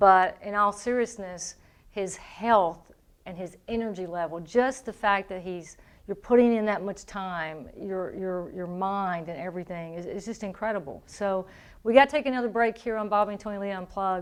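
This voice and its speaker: A woman with a Southern accent speaks at a moderate pace and medium pitch, with ordinary pitch variation. Her loudness swings widely against a quiet background. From Tennessee. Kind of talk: radio interview.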